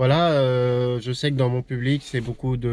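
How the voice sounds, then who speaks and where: The recording is very clean with a silent background as a man talks at a medium pitch. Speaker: YouTuber vlogging about camper van and old cars. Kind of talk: casual vlog talk to camera. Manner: fast, less articulated; hesitant with many fillers.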